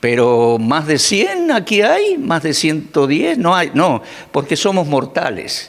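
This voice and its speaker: Over audible room echo, a man with a fairly high-pitched voice talks very slowly, his intonation lively. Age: 60s. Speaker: preacher. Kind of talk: sermon.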